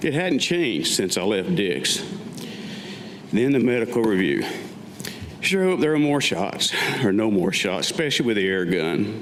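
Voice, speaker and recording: A man with an American accent speaks at a moderate pace and medium pitch, his pitch swinging very widely over noticeable background noise. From Western North Carolina. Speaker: Vietnam war veteran. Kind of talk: staged reading of own memoir. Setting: live stage.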